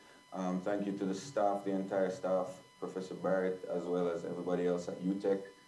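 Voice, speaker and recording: A man's fairly low voice with audible room echo. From Jamaica (Kingston). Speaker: live sound engineer. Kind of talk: guest talk on a video call. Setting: video call. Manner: halting, many repetitions and fillers.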